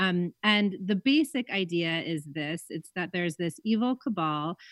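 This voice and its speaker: With a quiet background and a dry, close sound with no echo, a woman with an unremarkable speaking voice talks at a moderate pace and medium pitch. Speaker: magazine editor. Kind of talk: radio interview. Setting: remote call.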